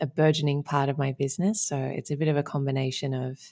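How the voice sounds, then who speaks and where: A woman speaks in a very deep, low voice with fairly even intonation. The recording is very clean, with a silent background. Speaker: relationship coach. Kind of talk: podcast interview.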